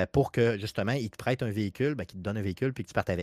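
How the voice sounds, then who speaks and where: A man speaks in a plain, everyday voice with a medium pitch and ordinary pitch variation. The recording is very clean with a silent background, and the sound is dry and close with no echo. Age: 40s. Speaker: video game podcast guest. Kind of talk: casual chat.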